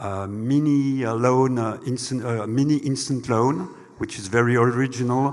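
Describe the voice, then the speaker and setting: This man speaks at a moderate pace and a medium pitch, with fairly even intonation and a French accent. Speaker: bank executive. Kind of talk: panel discussion. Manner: halting.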